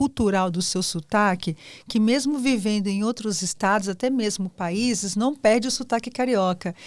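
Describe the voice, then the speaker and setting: A woman talks at a moderate pace in a fairly high voice with lively intonation, a normal speaking voice. The recording is very clean, with a silent background. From São Paulo, Brazil. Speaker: podcast host, consultancy founder. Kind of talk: podcast interview.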